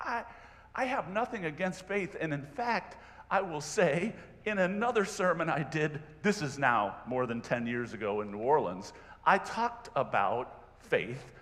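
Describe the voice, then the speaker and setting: Pitched high for a man, his voice makes very wide pitch swings at a fairly slow pace, with audible room echo. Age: 60s. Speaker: lay preacher. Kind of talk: sermon. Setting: church. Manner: conversational.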